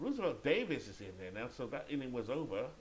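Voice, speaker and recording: Noticeable background noise can be heard. Over it, a man talks at a moderate pace. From Great Britain. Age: 50s. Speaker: video game sports commentator. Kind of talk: play-by-play commentary; casual chat. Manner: occasionally halting with self-corrections.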